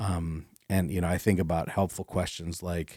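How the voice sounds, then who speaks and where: A man with an American accent talks over a silent background in a very clean recording. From northwestern Pennsylvania. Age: 50s. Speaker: pastor. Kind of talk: casual chat.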